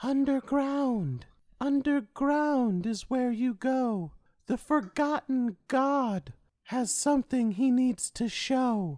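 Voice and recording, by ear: A put-on character voice with a fairly high pitch goes at a very slow pace on a very clean recording with a silent background.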